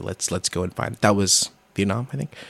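A man with an American accent and vocal fry at a fairly quick pace, in a dry, close sound with no echo on a very clean recording with a silent background. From Hartford, Connecticut, then California from age seven. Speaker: improv performer. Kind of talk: casual chat. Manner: halting, many repeated words.

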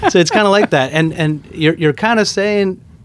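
A man talks in a normal speaking voice at a moderate pace. His pitch varies in an ordinary way. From Queens, New York (born in India). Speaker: sneaker store owner. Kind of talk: casual interview.

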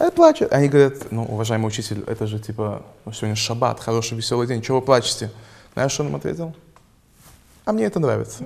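Talking at a very fast pace, a man still leaves long, frequent pauses. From Israel. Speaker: podcast host. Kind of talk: casual chat.

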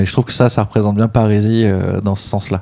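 The tone is dark and mellow, and the intonation stays flat and monotone. The recording is very clean, with a silent background. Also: man. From Réunion (childhood). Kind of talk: casual interview.

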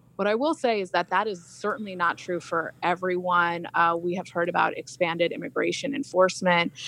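A woman's fairly low, a plain, everyday voice with an American accent, at a fairly quick pace with hardly any pauses and ordinary pitch variation. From India, raised in the US. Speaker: attorney and activist. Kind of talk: radio interview.

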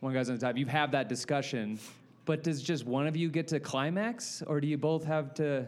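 Talking at a moderate pace, a man with an unremarkable speaking voice and a fairly high pitch shows ordinary pitch variation. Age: 30s. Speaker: comedian. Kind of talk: casual chat. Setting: live at a comedy festival.

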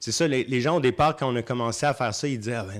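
A man with a normal speaking voice and fairly even intonation, on a very clean recording with a silent background. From Quebec, Saint-Hyacinthe. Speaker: festival programmer. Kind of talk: interview.

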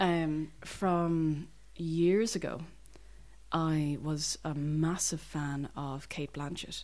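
This woman's voice is very deep and low in pitch, in a Dublin accent. She speaks at a very slow pace. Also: fairly even intonation. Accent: Dublin Irish. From Dublin, Ireland. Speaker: actor. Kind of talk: interview.

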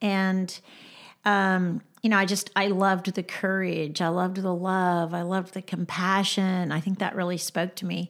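On a very clean recording with a silent background, a woman speaks at a moderate pace. Her medium-pitched voice stays monotone and flat. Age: 70s. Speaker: restaurant founder and farmer. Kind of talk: personal testimony in interview.

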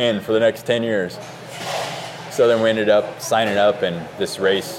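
A voice with an American accent comes through noticeable background noise. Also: man. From Oregon. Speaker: amateur cyclist. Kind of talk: casual chat.

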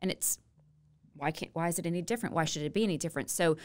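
A woman speaks in a Louisiana accent, her pitch fairly low with ordinary variation. The recording is very clean, with a silent background. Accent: Louisiana Southern US. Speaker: state legislator. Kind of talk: casual interview.

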